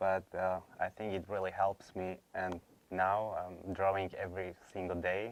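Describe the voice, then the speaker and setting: A man with a Slovak accent speaks fairly slowly in a very deep, low, monotone voice with flat intonation. The recording is very clean, with a silent background. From Slovakia. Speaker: former college student. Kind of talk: interview. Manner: hesitant, many fillers.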